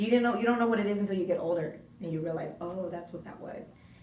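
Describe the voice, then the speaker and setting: This woman talks at a very fast pace. Her tone is animated, with audible room echo. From Southern California, Orange County (Laguna Hills). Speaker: radio host. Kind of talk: interview. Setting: radio studio. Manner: casual, animated.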